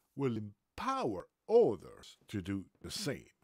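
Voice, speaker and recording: The speech comes at a very slow pace with a dry sound, no echo and a quiet background. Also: man. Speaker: book reader. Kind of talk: reading aloud. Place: home room. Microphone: webcam.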